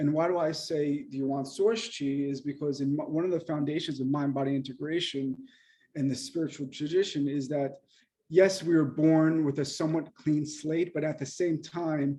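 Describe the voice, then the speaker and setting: With a dark, mellow tone and fairly even intonation, a man talks at a fairly high pitch. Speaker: acupuncturist and mind-body teacher. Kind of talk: lecture. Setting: video call. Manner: fast.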